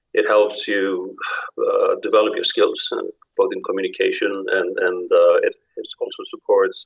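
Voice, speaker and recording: This man speaks with an Icelandic accent. He keeps a moderate pace. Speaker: executive director, forum speaker. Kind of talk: closing speech to youth delegates. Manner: halting, many fillers and repetitions.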